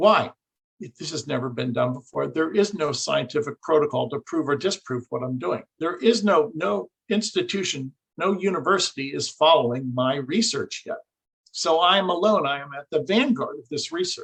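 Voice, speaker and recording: A man with a fairly high pitch and vocal fry uses lively intonation and big swings in loudness, recorded with a dry, close sound and no echo. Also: moderate pace. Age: 60s. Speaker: researcher and engineer. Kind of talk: interview.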